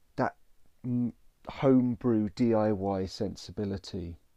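The man has a dark, mellow tone and speaks with a British accent. The sound is dry and close with no echo, over a quiet background. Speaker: podcast host.

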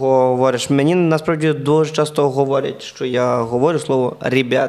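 Noticeable background noise sits behind a man's voice. He talks at a moderate pace with ordinary pitch variation. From western Ukraine. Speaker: comedian and podcast host. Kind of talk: casual chat.

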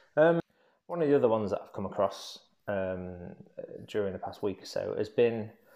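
A man with an English accent speaks at a fairly slow pace. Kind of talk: solo monologue vlog. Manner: hesitant, many ums.

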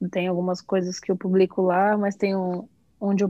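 A woman's dark, mellow tone with monotone, flat intonation. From São Paulo, Brazil. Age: 20s. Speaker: graphic designer. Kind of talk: casual chat.

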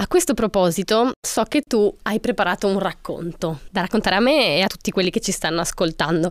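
In an ordinary speaking voice, a woman of medium pitch talks at a fairly quick pace with lively intonation, hardly any pauses and very even loudness, on a very clean recording with a silent background and a dry, close sound with no echo. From Italy. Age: 20s. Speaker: student, author and podcast co-host. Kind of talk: podcast conversation.

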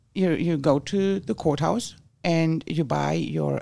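In a very clean recording with a silent background, a woman with a German accent speaks at a fairly low pitch in a dark, mellow tone. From Germany. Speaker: guest, waste-reduction enthusiast. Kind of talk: casual chat.

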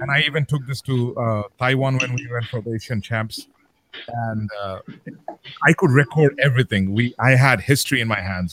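A man with a Bengali accent talks at a moderate pace and a medium pitch. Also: ordinary pitch variation. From Saudi Arabia. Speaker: beatboxer. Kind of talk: casual chat.

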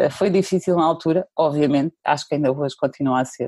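A woman speaks at a fairly quick pace with a dark, mellow tone and ordinary pitch variation. The sound is dry and close with no echo, over a quiet background. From central Portugal (Pombal). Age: 40s. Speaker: digital marketing specialist. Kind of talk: interview conversation.

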